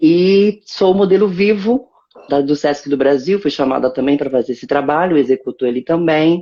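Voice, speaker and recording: A woman speaks with lively intonation at a moderate pace. Her voice is very deep and low. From Brazil, Guarulhos and Recife (Pernambuco). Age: 40s. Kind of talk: interview. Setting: at home, live stream.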